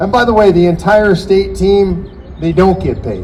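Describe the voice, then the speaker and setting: An animated man speaks with audible room echo. Noticeable background noise is also heard. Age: 60s. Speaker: political activist speaking at a rally. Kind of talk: rally speech. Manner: animated, rousing.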